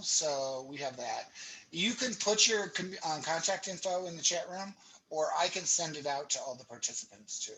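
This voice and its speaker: Over noticeable background noise, a man speaks at a moderate pace in a high pitch, with ordinary pitch variation and big swings in loudness. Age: 60s. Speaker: workshop organizer. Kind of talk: meeting prep chat.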